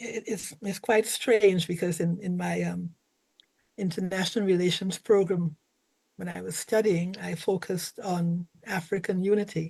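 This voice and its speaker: Somewhat breathy, a woman speaks at a fairly slow pace with fairly even intonation. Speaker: retired diplomat. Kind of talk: panel presentation. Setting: video call.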